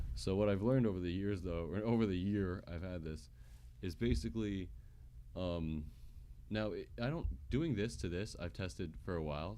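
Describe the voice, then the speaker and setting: The voice carries a dark, mellow tone at a fairly quick pace, with audible room echo. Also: man. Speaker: gaming streamer. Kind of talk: live stream tech tutorial.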